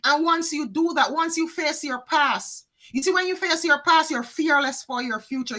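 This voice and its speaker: A woman's raised, projected voice, high in pitch and bright and sharp in tone, with ordinary pitch variation at a moderate pace. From Jamaica. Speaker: psychic card reader. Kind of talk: live tarot reading. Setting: livestream.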